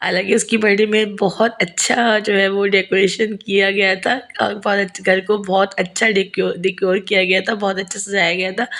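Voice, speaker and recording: A woman talks fairly slowly, her medium pitch carried in a monotone, flat intonation. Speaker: vlogger and school teacher. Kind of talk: vlog voice-over narration.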